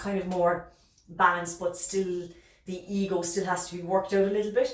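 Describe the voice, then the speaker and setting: A woman speaks in an Irish accent. Her voice carries audible room echo over noticeable background noise. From Ireland. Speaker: tarot reader. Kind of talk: tarot reading monologue. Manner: fast; hesitant with fillers.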